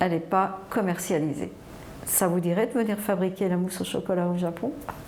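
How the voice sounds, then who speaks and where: A woman talks at a fairly slow pace and fairly low pitch with fairly even intonation, amid noticeable background noise and audible room echo. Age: 60s. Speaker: chocolate mousse entrepreneur. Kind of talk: personal testimony.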